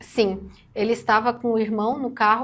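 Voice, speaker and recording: A woman speaks quietly at a fairly high pitch. Her pace is fairly slow. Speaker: news commentator co-host. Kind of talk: news discussion on a channel. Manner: speaking quietly. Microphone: too quiet.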